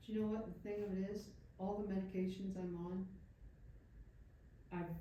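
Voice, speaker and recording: A woman's fairly low voice amid audible room echo. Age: 70s. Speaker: audience member. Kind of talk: audience question.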